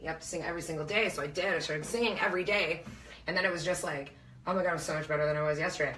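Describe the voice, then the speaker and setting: A woman with a fairly low voice talks at a very fast pace amid noticeable background noise and audible room echo. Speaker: local musician. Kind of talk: casual chat. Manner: loud; animated.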